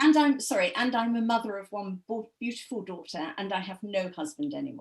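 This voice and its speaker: A woman with an English accent talks at a fairly quick pace in a fairly high, somewhat breathy voice. Her intonation is lively and her loudness swings widely. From England. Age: 70s. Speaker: author. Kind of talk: web show interview.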